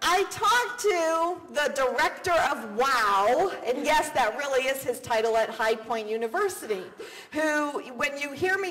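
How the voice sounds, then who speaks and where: Over noticeable background noise, a woman speaks at a moderate pace with a high pitch and lively intonation. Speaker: keynote speaker. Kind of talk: live keynote speech. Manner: high-energy, theatrical.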